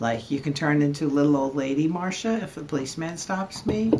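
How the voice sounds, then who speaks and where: At a moderate pace, a woman with an American accent speaks in a very deep, low voice with ordinary pitch variation. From New Jersey. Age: old. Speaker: interviewee, retired artist. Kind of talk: casual interview.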